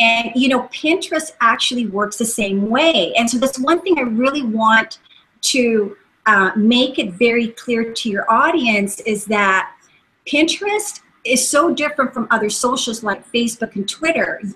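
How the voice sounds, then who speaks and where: Her voice is high-pitched, with a bright, sharp tone. The woman speaks at a fairly slow pace with lively intonation. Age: 50s. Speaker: social media marketing consultant. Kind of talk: interview. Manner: halting.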